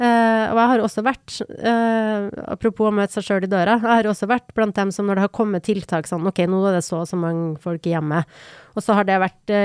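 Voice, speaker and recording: A woman speaks fairly quickly at a medium pitch in a normal speaking voice, with ordinary pitch variation. The sound is dry and close with no echo, on a very clean recording with a silent background. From Norway, Trondheim (Trøndelag). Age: 40s. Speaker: podcast co-host. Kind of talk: casual chat.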